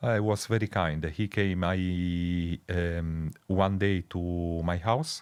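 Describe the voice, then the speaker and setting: A man's very deep, low voice in an Italian accent, at a very slow pace with hardly any pauses and fairly even intonation, on a very clean recording with a silent background. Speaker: researcher. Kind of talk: interview conversation. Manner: halting.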